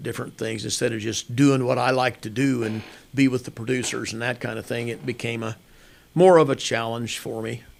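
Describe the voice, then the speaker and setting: A man with a Midwestern US accent speaks at a medium pitch, his intonation fairly even. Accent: rural Midwestern US. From Kansas. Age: 70s. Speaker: hunting outfitter and farmer. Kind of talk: interview. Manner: halting with repetitions.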